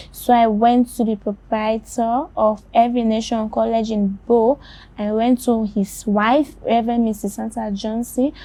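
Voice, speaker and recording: A woman's fairly high, somewhat breathy voice carries a dark, mellow tone and fairly even intonation. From Sierra Leone. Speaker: blind journalist. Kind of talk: interview testimony.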